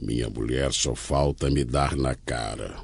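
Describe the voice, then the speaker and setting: In a put-on character voice, a man speaks with a very deep, low pitch, fairly slowly and in a monotone, flat intonation. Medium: read story. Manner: meek, stammering.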